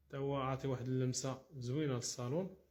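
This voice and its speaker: Somewhat breathy, dark and mellow delivery at a fairly quick pace. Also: man. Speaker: interior decoration contractor. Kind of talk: walkthrough tutorial showing finished work. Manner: casual, with frequent fillers and restarts.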